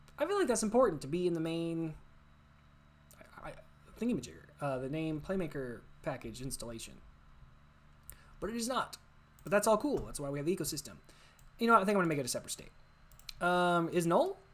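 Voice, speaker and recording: A woman's fairly low voice at a very fast pace, with very wide pitch swings and long, frequent pauses. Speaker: game development tutorial creator. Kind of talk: screen-recorded coding tutorial. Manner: casual, thinking aloud with fillers.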